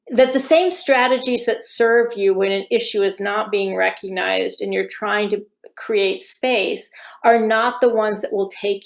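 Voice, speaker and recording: At a fairly slow pace, a woman speaks on a very clean recording with a silent background. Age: 60s. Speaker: violence against women researcher. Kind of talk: podcast interview.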